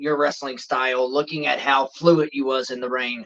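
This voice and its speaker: Bright and sharp in tone, a man talks at a fairly quick pace with fairly even intonation, the sound dry and close with no echo. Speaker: professional wrestler. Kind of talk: podcast interview answer.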